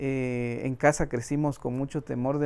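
A man talks at a fairly slow pace. His fairly high pitch has a dark, mellow tone. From Guatemala, Quetzaltenango (Mam family roots); Guatemala. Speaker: interviewee. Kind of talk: interview monologue. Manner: halting, with repeated fillers. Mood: calm, reflective. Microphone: lapel.

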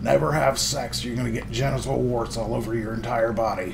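Over loud background noise, a man does a put-on character voice at a medium pitch and a fairly quick pace.

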